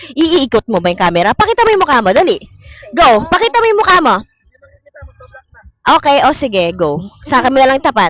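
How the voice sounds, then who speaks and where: The voice is loud, with an energetic tone. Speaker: vlogger. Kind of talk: casual chat.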